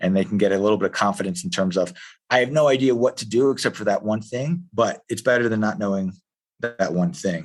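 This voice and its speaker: Delivered at a very fast pace, the speech has lively intonation and a Philadelphia accent. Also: man, fairly low pitch for a man. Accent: Philadelphia-area American English. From US Northeast, Philadelphia area. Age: 40s. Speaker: jiu-jitsu coach. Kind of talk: podcast interview. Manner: hesitant, many fillers and restarts.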